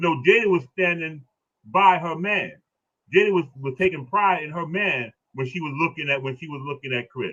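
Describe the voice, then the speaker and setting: An animated man talks at a moderate pace with a fairly high pitch and ordinary pitch variation. His loudness swings widely, and he leaves long, frequent pauses. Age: 60s. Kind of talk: casual discussion on a live stream. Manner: animated, repetitive.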